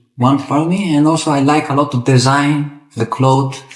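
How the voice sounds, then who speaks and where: This man's voice is fairly high and somewhat breathy. He keeps a moderate pace and fairly even intonation. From Italy. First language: Italian. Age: 20s. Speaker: football referee. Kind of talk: interview. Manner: halting.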